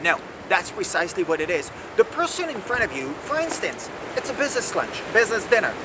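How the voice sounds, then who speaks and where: Against noticeable background noise, a man speaks in an animated tone with ordinary pitch variation. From France. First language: French. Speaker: executive coach. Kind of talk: video lesson.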